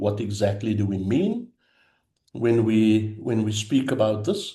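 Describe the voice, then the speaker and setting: With a dark, mellow tone and fairly low pitch, a man speaks at a fairly slow pace, somewhat breathy, with ordinary pitch variation. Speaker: theological education consultant. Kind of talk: lecture.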